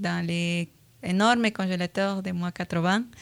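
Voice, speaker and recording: A very slow voice with a Latin American accent and fairly even intonation, dry and close with no echo on a very clean recording and a silent background. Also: woman. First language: Spanish (speaking French). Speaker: virology researcher. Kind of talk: radio interview. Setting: radio studio. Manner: hesitant, many fillers.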